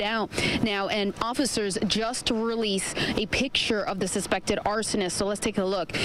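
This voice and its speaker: A woman keeps fairly even intonation and a moderate pace while noticeable background noise plays behind her. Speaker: TV news reporter. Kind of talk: TV news field report.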